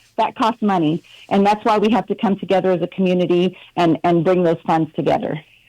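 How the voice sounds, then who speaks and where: The sound is dry and close with no echo. A woman talks at a fairly quick pace. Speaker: prison reform advocate. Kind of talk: live radio interview. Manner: casual, energetic.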